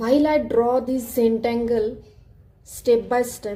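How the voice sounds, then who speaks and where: A woman's fairly high voice, dark and mellow in tone, with a non-native accent and a very slow pace. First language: not English. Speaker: art tutorial creator. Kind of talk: tutorial narration.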